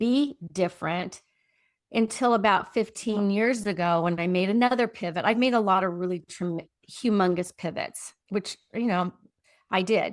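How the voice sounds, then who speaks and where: A woman speaks in a plain, everyday voice at medium pitch, with ordinary pitch variation and a moderate pace. The recording is very clean, with a silent background. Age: 60s. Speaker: transformational coach. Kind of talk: casual chat.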